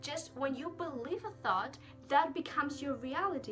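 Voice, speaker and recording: Over music in the background, a woman talks at a moderate pace with very wide pitch swings. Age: young. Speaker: self-love and mindset vlogger. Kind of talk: casual self-help talk to camera.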